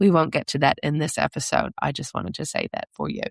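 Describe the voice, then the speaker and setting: A woman's very deep, low voice with vocal fry and ordinary pitch variation, at a moderate pace, with a quiet background and a dry, close sound with no echo. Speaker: parent coach and podcast host. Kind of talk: podcast monologue.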